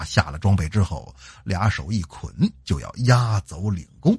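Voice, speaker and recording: A man's very deep, low voice with vocal fry and a Northeastern Chinese accent, at a moderate pace, in a dry, close sound with no echo. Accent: Northeastern Mandarin. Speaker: podcast host and storyteller. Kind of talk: storytelling. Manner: animated.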